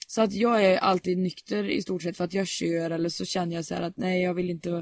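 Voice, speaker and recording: The recording is very clean with a silent background, carrying a normal speaking voice at a moderate pace and with ordinary pitch variation. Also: woman. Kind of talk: casual chat.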